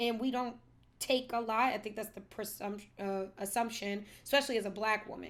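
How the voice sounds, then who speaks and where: With an American accent, an ordinary speaking voice moves at a moderate pace in a very clean recording with a silent background. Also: woman. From United States. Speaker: podcast co-host. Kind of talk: casual chat.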